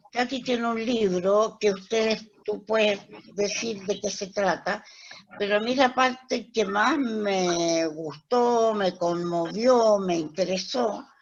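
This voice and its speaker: At a very slow pace, a woman talks at a medium pitch. Her pitch varies an ordinary amount. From Chile. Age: 70s. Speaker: webinar host. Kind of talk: casual chat.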